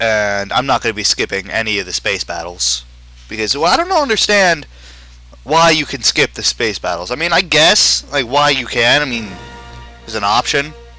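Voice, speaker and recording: The speaker keeps a moderate pace as music plays behind. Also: man, medium pitch for a man. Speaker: gamer doing a let's play. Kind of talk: casual gameplay commentary. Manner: halting.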